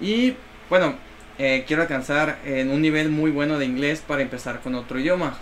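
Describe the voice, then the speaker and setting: The speech moves at a fairly quick pace with fairly even intonation. Noticeable background noise runs underneath. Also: man. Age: 20s. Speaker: dancer. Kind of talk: casual chat.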